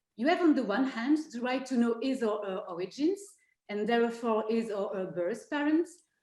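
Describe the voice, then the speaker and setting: A woman with a French accent talks at a fairly quick pace, her fairly high voice carrying lively intonation. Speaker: law professor. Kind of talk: academic presentation.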